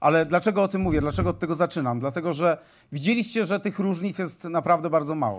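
A man talks at a very fast pace in a high pitch with ordinary pitch variation. The background is quiet. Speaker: politician addressing event. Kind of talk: public speech. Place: stage. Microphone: handheld.

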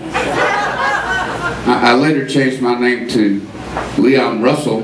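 There is noticeable background noise. A man's voice is heard through it. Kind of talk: storytelling stage banter. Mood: wry, humorous. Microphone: pa.

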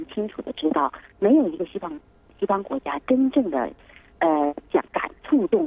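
A man talks at a high pitch, his voice swinging very widely up and down. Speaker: newspaper editor. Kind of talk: live TV interview. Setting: remote link.

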